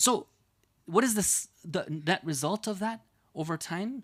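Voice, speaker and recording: Captured on a very clean recording with a silent background, a man with a high pitch and an American accent talks fairly slowly with lively intonation. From United States. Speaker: Islamic scholar and preacher. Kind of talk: religious lecture.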